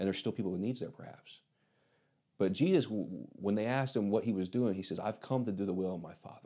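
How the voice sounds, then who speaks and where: A man's fairly low-pitched, dark, mellow voice with an American accent, at a very fast pace with ordinary pitch variation, in a very clean recording with a silent background. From Indiana. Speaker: missionary pastor. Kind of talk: interview.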